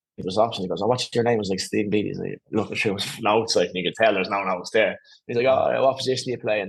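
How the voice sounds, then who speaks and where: With an Irish accent, a man talks very fast at a medium pitch, keeping his intonation fairly even. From Ireland, Skerries (north County Dublin). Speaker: former professional footballer. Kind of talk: podcast interview. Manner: casual, hesitant with fillers.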